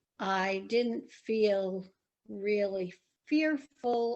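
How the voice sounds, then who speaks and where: Using fairly even intonation, a woman speaks at a medium pitch. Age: 60s. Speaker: interviewee in oral history. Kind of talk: oral history interview.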